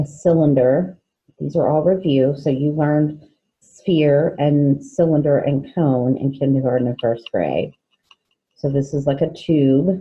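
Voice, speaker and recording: Delivery is fairly slow. Intonation remains fairly even throughout. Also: woman, very deep, low pitch for a woman. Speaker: fifth grade teacher. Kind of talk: recorded online lesson.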